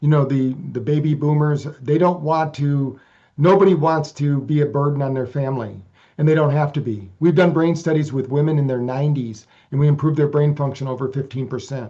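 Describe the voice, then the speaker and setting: A dark, mellow, somewhat breathy voice with fairly even intonation against a quiet background. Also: man, fairly high pitch for a man. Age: 60s. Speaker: researcher and author on brain training. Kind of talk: interview. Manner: halting, frequent repetitions.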